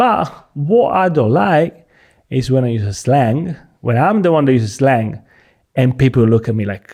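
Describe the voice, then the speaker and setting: A man with a strong Italian accent, medium pitch, and a dark, mellow tone, using lively intonation at a moderate pace. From Sicily, Italy. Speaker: comedian. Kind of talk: casual chat.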